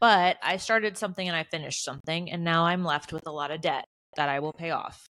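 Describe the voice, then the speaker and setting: Very fast speech from a woman at fairly low pitch, ordinary pitch variation, a bright, sharp tone, and a dry, close sound with no echo on a very clean recording with a silent background. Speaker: podcast co-host and business owner. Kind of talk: casual chat.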